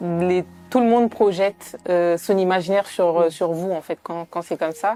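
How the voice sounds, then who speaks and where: A woman's fairly low voice with fairly even intonation, music in the background. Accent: Italian. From Italy. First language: Italian (speaking French). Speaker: documentary filmmaker and sociologist. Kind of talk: interview. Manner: hesitant, many fillers.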